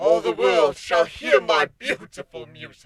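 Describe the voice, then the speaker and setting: A man performs in a put-on character voice. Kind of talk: audiobook-style fan fiction reading. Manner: menacing, haughty.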